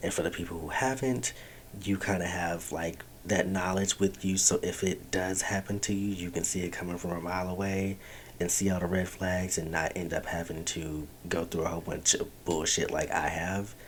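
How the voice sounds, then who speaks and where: A man speaks quietly at a very deep, low pitch. His pace is moderate and his intonation fairly even. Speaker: podcast host. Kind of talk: casual monologue. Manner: quiet, low voice.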